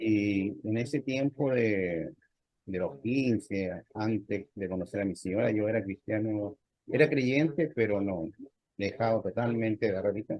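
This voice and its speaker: A man speaks at a fairly slow pace with a fairly low pitch. His pitch varies in an ordinary way. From Chile. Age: 60s. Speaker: lay church member, navy veteran. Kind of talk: interview testimony. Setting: video call. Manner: halting, with many fillers.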